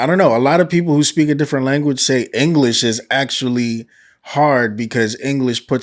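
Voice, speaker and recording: At a fairly quick pace, a man with an American accent speaks in a plain, everyday voice at medium pitch with ordinary pitch variation. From New York. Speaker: podcast host. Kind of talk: casual interview.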